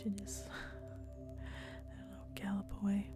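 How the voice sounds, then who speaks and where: Over music in the background, a woman talks at a fairly slow pace in a calm tone. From Sweden. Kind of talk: ASMR soft-spoken talk to camera while walking. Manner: soft-spoken, calm.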